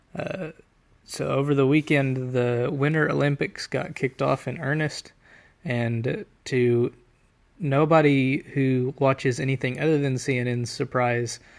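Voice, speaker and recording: A soft-spoken man at medium pitch, with fairly even intonation. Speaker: political commentary vlogger. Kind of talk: opinion monologue. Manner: halting.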